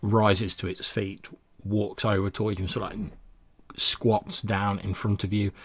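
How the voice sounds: A man talks at a fairly slow pace in a low pitch. His voice has a slightly husky edge and little pitch movement.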